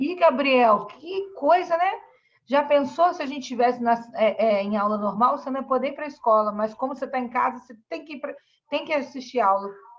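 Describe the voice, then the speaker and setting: With a high pitch and lively intonation, a woman speaks at a moderate pace while her loudness swings widely. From Brazil, Espírito Santo (Vila Velha). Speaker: school teacher. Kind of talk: online class lesson. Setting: video call.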